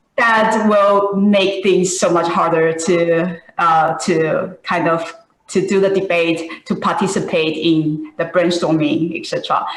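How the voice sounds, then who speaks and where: A woman's fairly low, fairly even voice at a very slow pace with hardly any pauses, amid audible room echo. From Taiwan. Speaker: software engineer, alumna speaker. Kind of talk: panel discussion. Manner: halting.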